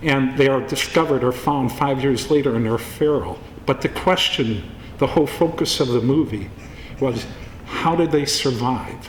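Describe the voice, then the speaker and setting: Noticeable background noise sits behind a man speaking at a medium pitch. His loudness stays very even, and his pitch varies in an ordinary way. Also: moderate pace. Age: 60s. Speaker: film producer. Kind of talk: speech at award event.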